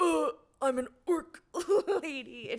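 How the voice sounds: Her voice is high in pitch. The woman is doing a put-on character voice.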